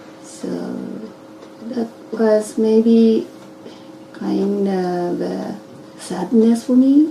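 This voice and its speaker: A woman's very slow speech with long, frequent pauses, big swings in loudness and noticeable background noise. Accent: Japanese. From Japan. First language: Japanese. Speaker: interviewee. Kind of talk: interview. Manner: halting.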